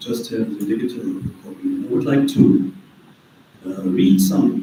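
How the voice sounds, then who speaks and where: Noticeable background noise and audible room echo accompany a man speaking at a fairly slow pace with a German accent. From Germany. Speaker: author and peace researcher. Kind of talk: talk. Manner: halting.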